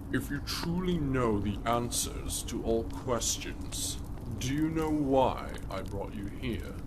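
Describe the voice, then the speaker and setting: Through loud background noise, a man uses a put-on character voice at a medium pitch and a fairly slow pace. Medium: audio drama. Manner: scornful, sly.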